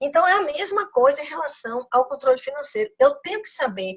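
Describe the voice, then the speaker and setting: Speaking at a fairly quick pace, a woman moves through very wide pitch swings. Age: 60s. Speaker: financial consultant and business coach. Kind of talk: lecture. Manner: halting, many repetitions.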